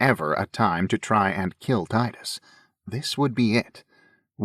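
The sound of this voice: An unforced reading voice, with ordinary pitch variation, comes over a quiet background.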